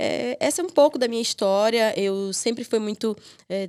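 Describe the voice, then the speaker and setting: Lively intonation from a woman with a northeastern Brazilian accent, at a moderate pace, in a dry, close sound with no echo and a very clean recording with a silent background. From Piauí, Brazilian Northeast. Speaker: lawyer and legal mentor. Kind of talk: podcast interview. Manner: hesitant, many fillers.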